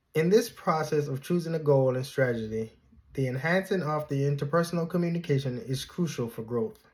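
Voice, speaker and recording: A man's somewhat breathy, fairly high-pitched voice, with ordinary pitch variation and a fairly quick pace. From Jamaica. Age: 30s. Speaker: graduate student. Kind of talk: class presentation. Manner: formal.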